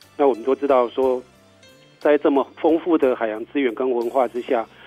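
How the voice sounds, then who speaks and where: Ordinary pitch variation from a man at medium pitch, with music in the background. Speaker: government ocean conservation official, interview guest. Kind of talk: radio interview answer, informative explanation.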